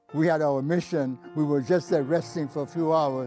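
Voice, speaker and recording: Music plays in the background as a man with an American accent speaks. His pitch is fairly high, with ordinary variation. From New York City. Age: 80s+. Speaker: war veteran. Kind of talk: interview answer.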